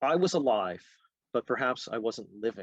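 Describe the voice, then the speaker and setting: With a Canadian accent, a man talks at a moderate pace in a normal speaking voice, pitched in the medium range. The recording is dry and close, with no echo. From Canada, Halifax, Nova Scotia. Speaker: author. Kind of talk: reading aloud.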